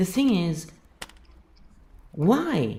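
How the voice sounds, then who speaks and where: The woman's tone is dark and mellow. Vocal fry runs through her voice. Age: 50s. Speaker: YouTuber. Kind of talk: monologue rant. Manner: animated.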